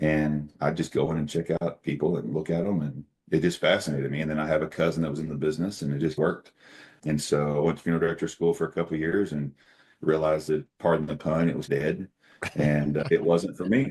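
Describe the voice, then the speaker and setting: Speaking very fast with an American accent, a man uses a very deep, low pitch and fairly even intonation. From Oklahoma. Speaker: company CEO. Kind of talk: interview conversation.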